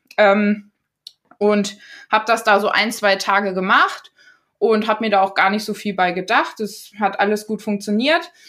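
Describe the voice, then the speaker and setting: A woman at a medium pitch and moderate pace, fairly even in intonation, in a normal speaking voice. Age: 20s. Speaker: trained teacher and influencer sharing eating disorder story. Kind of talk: casual interview.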